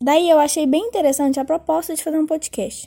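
A woman with a Minas Gerais accent speaks at a high pitch and a fairly quick pace. The recording is very clean with a silent background, and the sound is dry and close with no echo. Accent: Minas Gerais Brazilian Portuguese (mineiro). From Brazil, Minas Gerais (Belo Horizonte). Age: 20s. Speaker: podcast host, journalism student. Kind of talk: casual monologue.

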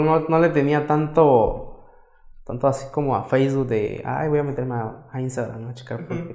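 Audible room echo around a fairly high-pitched male voice with ordinary pitch variation. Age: young. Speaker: makeup artist and entrepreneur. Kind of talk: casual interview.

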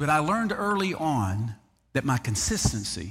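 With a Southern US accent, a man speaks in an animated tone full of very wide pitch swings. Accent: Southern US (Georgia). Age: 50s. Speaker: pastor. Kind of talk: sermon. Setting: church.

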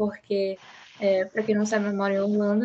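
At a moderate pace, the speaker sounds somewhat breathy. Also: woman. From Belém, Pará, northern Brazil. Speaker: psychology student podcast host. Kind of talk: casual discussion.

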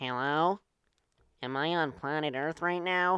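Fairly slow delivery in a put-on character voice, pitched in the middle. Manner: strange, curious, unearthly.

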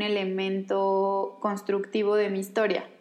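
With a Mexican accent, a woman speaks at medium pitch and a fairly slow pace. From Mexico. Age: 20s. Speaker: podcast creator and communicator. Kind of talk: casual chat.

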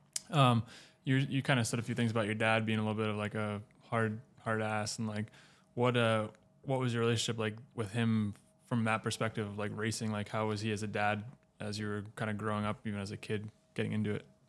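A man at very fast pace, fairly low in pitch, monotone and flat, on a very clean recording with a silent background. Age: 20s. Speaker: podcast co-host and motorcycle racer. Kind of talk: casual podcast interview. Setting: studio set up in a log cabin.

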